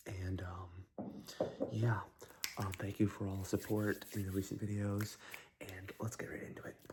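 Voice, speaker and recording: Soft-spoken and somewhat breathy, a man with a fairly low pitch talks at a fairly slow pace in a monotone, flat intonation, leaving long, frequent pauses. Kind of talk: ASMR rambling chat about fragrances, soft-spoken. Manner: soft-spoken, rambling, casual.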